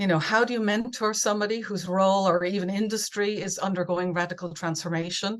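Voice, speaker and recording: Speaking at a fairly quick pace, a woman with an Irish accent has a medium pitch and ordinary pitch variation. The background is quiet. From Ireland. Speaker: conference speaker, business researcher and coach. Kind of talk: webinar presentation. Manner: many fillers and repetitions.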